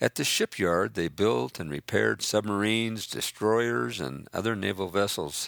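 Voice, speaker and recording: The recording is very clean with a silent background and a dry, close sound with no echo. A man with a normal speaking voice speaks at a moderate pace, his pitch fairly low and his intonation lively. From Northern California. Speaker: memoirist. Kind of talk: reading aloud.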